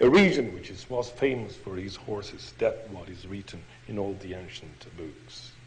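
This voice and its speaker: The speaker has an Italian accent and very wide pitch swings. Audible room echo surrounds the voice. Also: man. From Italy (Padua). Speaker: pediatrician and professor giving a history lecture. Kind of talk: lecture. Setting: podium before an international audience. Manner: halting, non-native phrasing.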